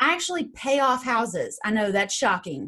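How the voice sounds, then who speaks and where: A woman with an East Tennessee accent speaks at a moderate pace in a bright, sharp tone. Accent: Southern US (East Tennessee). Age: 30s. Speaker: real estate investor and coach. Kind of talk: interview.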